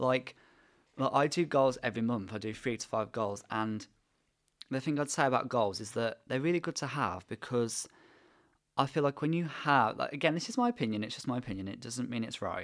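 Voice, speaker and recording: Over a very clean recording with a silent background, a man speaks with an English accent. His pitch is medium with ordinary variation, and his pace is fairly quick. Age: 20s. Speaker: podcast host and university student. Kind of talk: casual chat.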